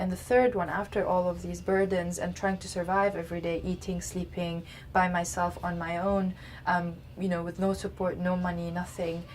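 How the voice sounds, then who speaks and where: A woman with a fairly low pitch and a somewhat breathy voice speaks at a moderate pace in a monotone, flat way. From Lebanon. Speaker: community organizer. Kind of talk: interview. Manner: halting, many fillers.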